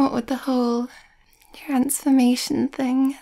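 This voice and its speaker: At a fairly slow pace, the speaker talks in a soft-spoken way. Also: quiet background. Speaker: voice actor in audio roleplay. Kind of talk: roleplay acting, soft conversational. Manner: soft, shy ASMR girlfriend voice.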